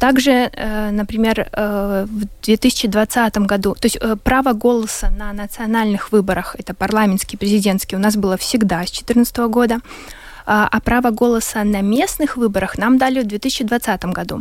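A woman's fairly high-pitched voice with fairly even intonation, over noticeable background noise. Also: moderate pace. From Ukraine, Luhansk. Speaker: war refugee and activist. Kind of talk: radio discussion.

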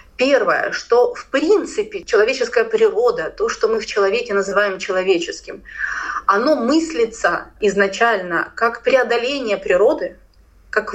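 A woman with an ordinary speaking voice talks at a moderate pace and a fairly high pitch with lively intonation. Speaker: philosopher and cultural studies lecturer. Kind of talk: radio interview, lecture-like explanation.

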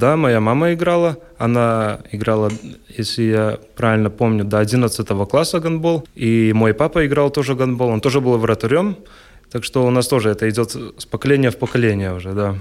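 A man with an ordinary speaking voice talks at a moderate pace and a medium pitch, with ordinary pitch variation. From Latgale, Latvia (Ludza). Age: 20s. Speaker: handball player. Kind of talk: radio interview.

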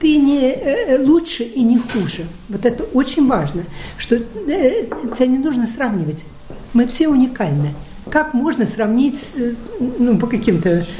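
The voice swings very widely in pitch, with audible room echo and noticeable background noise. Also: woman. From Russia, Saint Petersburg. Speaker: gallery owner. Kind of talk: interview. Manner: halting.

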